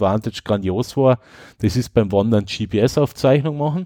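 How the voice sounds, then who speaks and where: A man with an Austrian accent at a moderate pace, dark and mellow in tone, in a very clean recording with a silent background and a dry, close sound with no echo. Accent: speaks Austrian dialect. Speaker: tech podcast host. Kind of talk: casual chat.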